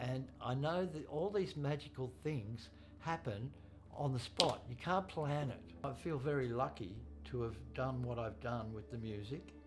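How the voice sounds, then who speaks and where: A man at medium pitch with very wide pitch swings and a fairly slow pace, music in the background and audible room echo. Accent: Australian. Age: 60s. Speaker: drummer. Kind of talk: interview monologue.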